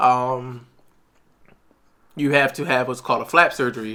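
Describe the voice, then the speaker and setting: Medium in pitch, a man's bright, sharp voice runs at a fairly quick pace with monotone, flat intonation. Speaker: podcast co-host, wheelchair user. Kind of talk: casual chat. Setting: eating during recording. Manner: halting.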